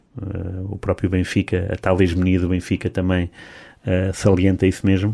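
A man with a very deep, low pitch, a dark, mellow tone, monotone, flat intonation and a moderate pace. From Portugal, Lisbon area. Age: 40s. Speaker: sports journalist. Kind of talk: casual chat.

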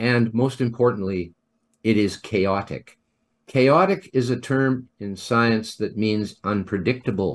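Against a quiet background, a man speaks at a fairly slow pace. His voice sits at a medium pitch with ordinary variation. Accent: Canadian. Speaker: environmentalist and scientist. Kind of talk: interview. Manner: halting.

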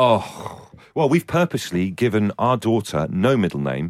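A fairly low-pitched man's voice with vocal fry. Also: dry, close sound with no echo. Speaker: co-host. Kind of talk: casual banter chat.

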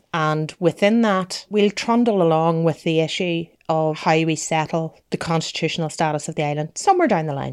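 A woman's fairly low voice in a Northern Irish accent, hardly any pauses, on a very clean recording with a silent background. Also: ordinary pitch variation, moderate pace. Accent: Derry, Northern Irish. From Northern Ireland, Derry. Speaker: journalist and lawyer. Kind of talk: interview. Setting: in person at guest's home.

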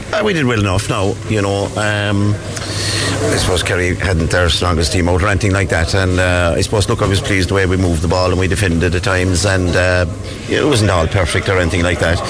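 At a fairly quick pace with hardly any pauses, a man with a Cork accent and a very deep, low pitch speaks with very even loudness and fairly even intonation, amid noticeable background noise and audible room echo. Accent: Cork Irish. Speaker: football manager. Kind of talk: post-match interview.

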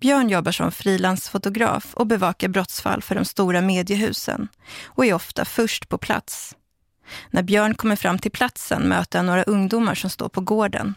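A woman with a plain, everyday voice, medium pitch and fairly even intonation speaks at a moderate pace in a dry, close sound with no echo, on a very clean recording with a silent background. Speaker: documentary narrator. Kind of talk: scripted narration.

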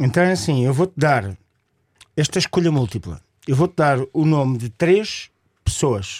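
A man speaks at a fairly slow pace with lively intonation and long, frequent pauses. The sound is dry and close, with no echo. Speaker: radio co-host, padel promoter. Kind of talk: radio interview. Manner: halting, many fillers.

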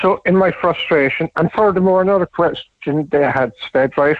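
This man talks with an Irish accent and ordinary pitch variation. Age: 60s. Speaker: radio caller. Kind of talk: radio phone-in.

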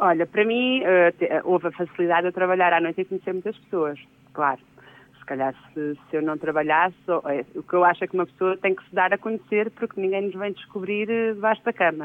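Her voice an unremarkable speaking voice, a woman speaks fairly quickly at a medium pitch with ordinary pitch variation. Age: 40s. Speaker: DJ. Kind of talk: interview, casual chat.

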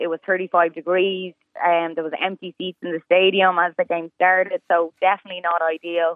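A woman with an Irish accent, a fairly low pitch, monotone and flat intonation, a fairly quick pace and hardly any pauses. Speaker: sports reporter. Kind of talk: news interview.

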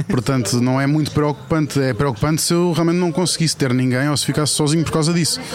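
A man at a fairly high pitch speaks at a very fast pace. His pitch varies in an ordinary way, with noticeable noise in the background. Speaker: food-loving TV writer and personality. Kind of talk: casual chat over lunch. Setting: restaurant, recorded outdoors.

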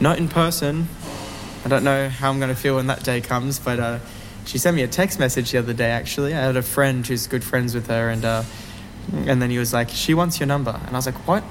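Speaking very fast, a man with an Australian accent keeps a medium pitch with ordinary pitch variation. There is noticeable background noise. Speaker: singer, song contest entrant. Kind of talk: interview.

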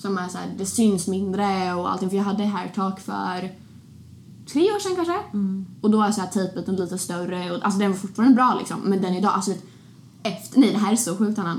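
Audible room echo surrounds a woman's voice at a medium pitch. She keeps fairly even intonation at a fairly quick pace. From Sweden, Linköping (small town). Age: 20s. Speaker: podcast host. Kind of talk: casual chat.

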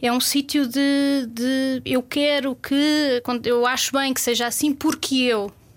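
Amid noticeable background noise, a woman speaks at a very slow pace in a high pitch with monotone, flat intonation. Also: hardly any pauses. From Portugal, Lisbon outskirts. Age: 30s. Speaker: food and culture journalist. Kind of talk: casual interview chat.

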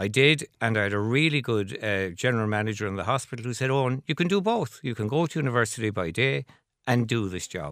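A man with a Cork accent talks at a very fast pace in a medium pitch with lively intonation. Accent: Cork Irish. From Ireland, Cork City. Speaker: company chairman. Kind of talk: radio interview. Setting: radio studio. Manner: halting.

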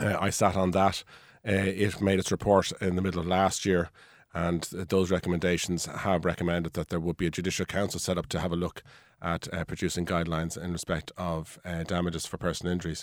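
In an Irish accent, a man with a very deep, low pitch speaks very fast in a monotone, flat intonation on a very clean recording with a silent background. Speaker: personal injury solicitor. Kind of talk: radio panel discussion. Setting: studio.

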